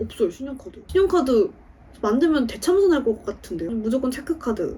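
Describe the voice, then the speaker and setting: Speaking at a fairly quick pace, a woman uses a high pitch with very wide swings in pitch. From Daegu, South Korea. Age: 20s. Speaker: aspiring actor. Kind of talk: interview answer.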